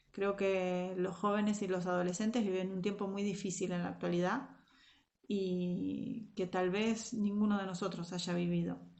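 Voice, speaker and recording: Speaking fairly slowly at medium pitch, a woman keeps a monotone, flat intonation while audible room echo surrounds her. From Argentina, Zárate. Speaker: Sunday school and youth teacher. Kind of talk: devotional talk to young women. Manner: hesitant, many fillers.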